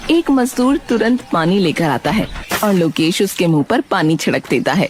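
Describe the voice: Her voice is fairly low with a slightly husky edge, and this woman talks at a moderate pace with lively intonation.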